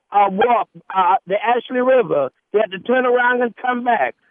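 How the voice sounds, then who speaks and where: This man talks at a moderate pace in an extremely high pitch with a Southern US accent. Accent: US South. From Charleston, South Carolina. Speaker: radio caller. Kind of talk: call-in. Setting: phone call.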